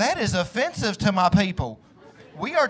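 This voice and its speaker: In a Southern US accent, a man speaks at a high pitch. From US South. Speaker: stand-up comedian. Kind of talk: stand-up. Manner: animated. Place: stage. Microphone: handheld.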